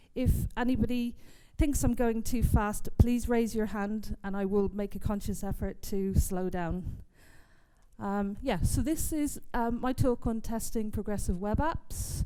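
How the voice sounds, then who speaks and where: A woman with an English accent speaks in a dark, mellow tone at a fairly high pitch, with audible room echo around her. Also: ordinary pitch variation, fairly slow pace. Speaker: software testing speaker. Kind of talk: conference talk. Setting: stage with audience.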